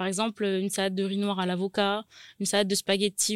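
This woman speaks at a medium pitch in a monotone, flat delivery. The recording is very clean and dry, close with no echo, and the background is silent. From New Caledonia, Nouméa. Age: 20s. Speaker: caterer and business owner. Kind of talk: interview. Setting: studio.

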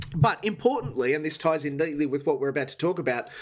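The recording is very clean, with a silent background. A man speaks with an Australian accent. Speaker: TV ratings commentator. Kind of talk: casual chat.

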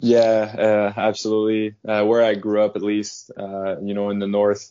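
A man with a French Canadian accent, fairly low in pitch, at a fairly slow pace with monotone, flat intonation. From Quebec, Canada. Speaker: professional hockey player. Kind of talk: casual interview.

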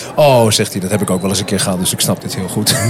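Through noticeable background noise, a man speaks very fast in a fairly low voice with ordinary pitch variation. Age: 30s. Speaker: café manager. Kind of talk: casual chat. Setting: restaurant / café.

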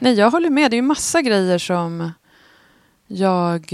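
A woman at a medium pitch, lively intonation, and a fairly slow pace. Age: 40s. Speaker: podcast co-host. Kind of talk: casual chat.

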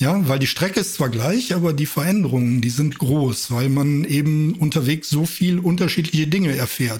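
This man's voice is somewhat breathy and fairly high, with ordinary pitch variation. He speaks at a moderate pace and very even loudness. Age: 50s. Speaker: amateur runner. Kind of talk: casual chat.

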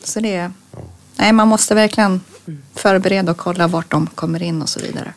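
Talking at a fairly quick pace yet with long, frequent pauses, a woman keeps a medium pitch and fairly even intonation. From Örebro, central Sweden. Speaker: hunter and youth leader. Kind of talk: casual interview.

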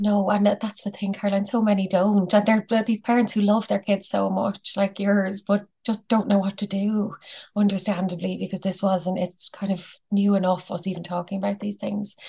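Somewhat breathy and dark, mellow in tone, the voice keeps a moderate pace with monotone, flat intonation. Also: woman, medium pitch for a woman. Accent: Irish. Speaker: psychologist. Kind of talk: interview. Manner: calm.

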